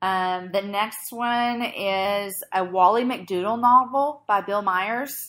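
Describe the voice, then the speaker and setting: A woman at a very slow pace with hardly any pauses, medium pitch, ordinary pitch variation and a bright, sharp tone, on a very clean recording with a silent background. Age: 30s. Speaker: podcast host. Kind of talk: casual chat. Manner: animated.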